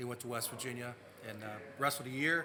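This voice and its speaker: With an American accent, a man talks fairly quickly at medium pitch in a monotone, flat intonation, amid noticeable background noise and audible room echo. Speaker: former softball player. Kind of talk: casual chat.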